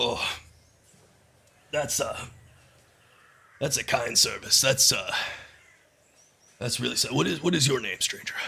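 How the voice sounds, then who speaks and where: Putting on a raspy character voice, a man speaks at medium pitch and a moderate pace, with long, frequent pauses. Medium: actual play. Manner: hesitant, stammering, rambling.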